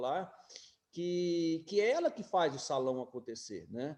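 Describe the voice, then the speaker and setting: Lively intonation in a high male voice with a dark, mellow tone. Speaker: guest speaker on social entrepreneurship. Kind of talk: lecture. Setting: video call.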